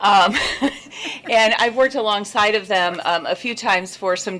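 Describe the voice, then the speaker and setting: Amid noticeable background noise, a woman talks at a moderate pace with fairly even intonation. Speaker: small business owner speaking at public hearing. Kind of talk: public comment at city meeting. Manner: hesitant, many fillers.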